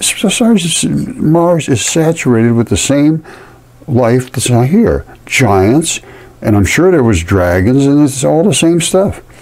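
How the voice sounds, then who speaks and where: At a very slow pace, a man speaks with very wide pitch swings. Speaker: channel host explaining a map. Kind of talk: casual commentary. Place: home room. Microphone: phone near.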